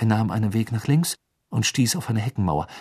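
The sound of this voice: Pitch varies in an ordinary way in an unforced reading voice. Around it, the background stays quiet.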